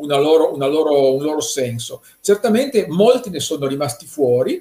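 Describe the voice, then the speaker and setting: Somewhat breathy, a man with a fairly high pitch and a dark, mellow tone talks at a moderate pace with ordinary pitch variation. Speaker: art economist. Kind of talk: conference talk.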